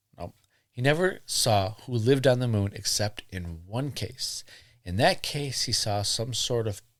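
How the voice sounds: This clip features a natural reading voice.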